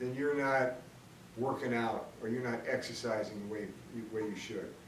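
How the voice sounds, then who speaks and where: At a fairly slow pace, the voice comes through noticeable background noise and audible room echo. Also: man. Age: 60s. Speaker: video blogger, smokers' rights advocate. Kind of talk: opinion monologue. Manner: hesitant, many fillers; blunt, combative.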